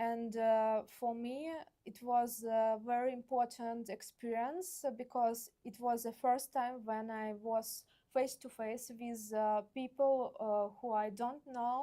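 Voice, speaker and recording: In a Russian accent, a woman speaks very slowly with a fairly high pitch and a dark, mellow tone. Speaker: visual artist. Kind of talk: artist talk. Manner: halting, many fillers.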